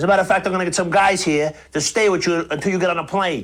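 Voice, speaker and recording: In a put-on character voice, a man talks gruffly at a very fast pace, pitched high with fairly even intonation. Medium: short film. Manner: gruff, profane.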